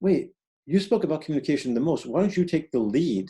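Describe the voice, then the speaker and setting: This man has an American accent and a dark, mellow tone. His pitch swings very widely. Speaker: evaluation expert. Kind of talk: webinar lecture. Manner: fast.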